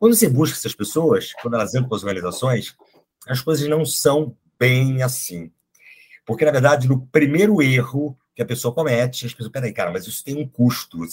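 A man talks at a fairly quick pace in a medium-pitched, somewhat breathy voice. His intonation is lively. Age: 50s. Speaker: psychologist and HR executive. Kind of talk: casual interview conversation.

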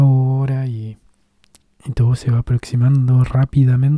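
A man's medium-pitched voice at a fairly slow pace, in a monotone with flat intonation. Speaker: podcast host reading own blog texts. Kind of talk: casual monologue.

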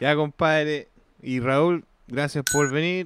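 In a Chilean accent, a man speaks with a fairly high pitch. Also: dry, close sound with no echo. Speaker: podcast host. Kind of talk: casual chat. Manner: animated.

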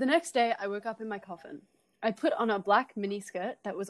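Someone reads aloud in a natural voice, pitch varying in an ordinary way.

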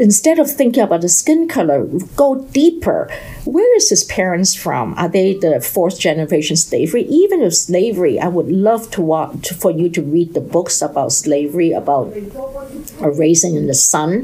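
A woman speaks with a Chinese accent and very wide pitch swings. Noticeable background noise runs underneath. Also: medium pitch for a woman, moderate pace. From China. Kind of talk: podcast monologue. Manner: halting.

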